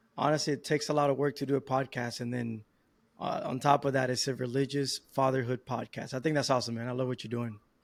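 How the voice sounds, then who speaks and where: Very fast, monotone, flat speech from a man at a medium pitch with a Spanish accent, on a very clean recording with a silent background. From Dominican Republic. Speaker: podcast guest, new father. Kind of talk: casual interview.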